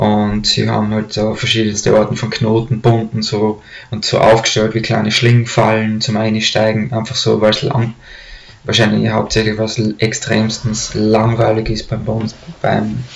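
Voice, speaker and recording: Speech unfolds at a moderate pace with monotone, flat intonation. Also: man, fairly low pitch for a man. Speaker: storyteller. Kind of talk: casual storytelling to camera. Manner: hesitant, many fillers. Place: home room. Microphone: webcam.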